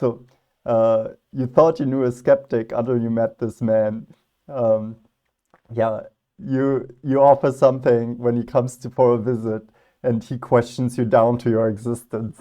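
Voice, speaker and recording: Medium in pitch and dark, mellow in tone, a man's voice carries fairly even intonation. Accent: non-native. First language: not English. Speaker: philosophy youtuber. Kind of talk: reaction video commentary. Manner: casual, hesitant with fillers.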